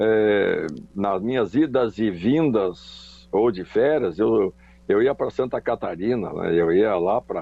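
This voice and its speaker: Very slow in pace, the delivery carries ordinary pitch variation. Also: man, medium pitch for a man. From Rio Grande do Sul, Brazil (Charqueadas). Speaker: former footballer and coach. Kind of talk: interview. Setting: phone call.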